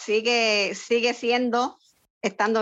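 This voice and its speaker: A woman speaks at a very slow pace. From Puerto Rico (San Lorenzo). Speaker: homemaker. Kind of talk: interview testimony.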